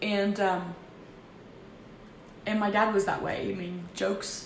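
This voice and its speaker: Over noticeable background noise and audible room echo, a woman speaks at medium pitch with monotone, flat intonation. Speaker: vlogger. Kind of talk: personal testimony. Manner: loud; halting.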